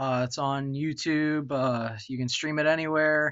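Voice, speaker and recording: With an American accent, a man speaks in an ordinary speaking voice, fairly high in pitch, with fairly even intonation at a fairly slow pace. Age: 20s. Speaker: musician. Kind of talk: casual chat. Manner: casual, filler-heavy.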